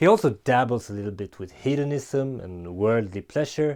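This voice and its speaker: A man with a non-native accent talks fairly slowly in a dark, mellow tone with lively intonation. The recording is very clean, with a silent background. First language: not English. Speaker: book reviewer. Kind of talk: book review vlog. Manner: casual, some hesitations.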